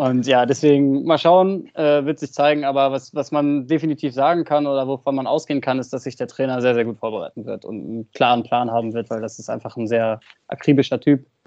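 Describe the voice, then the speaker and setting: With hardly any pauses, a man at a fairly high pitch talks at a fairly quick pace in a dark, mellow tone and ordinary pitch variation, the sound dry and close with no echo. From northern Germany, Oldenburg. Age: 20s. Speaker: youth football coach. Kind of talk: podcast interview.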